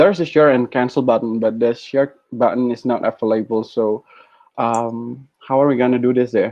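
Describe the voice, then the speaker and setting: In an Indonesian accent, a man speaks at a medium pitch. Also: fairly even intonation. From Indonesia, North Sumatra. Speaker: guest speaker. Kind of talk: webinar presentation. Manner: fast.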